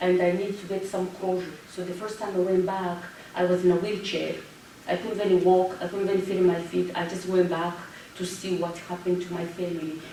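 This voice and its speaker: Noticeable background noise and audible room echo fill the recording. A woman talks in a medium pitch with monotone, flat intonation. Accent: French. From Rwanda. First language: French. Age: 40s. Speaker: genocide survivor and public speaker. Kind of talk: Q&A after a talk.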